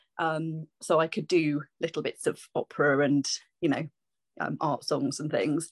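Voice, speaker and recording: Delivered at a moderate pace with a southern English accent, the voice sounds dry and close with no echo over a quiet background. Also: woman. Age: 40s. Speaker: singer-songwriter and vocal teacher. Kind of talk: interview. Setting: video call.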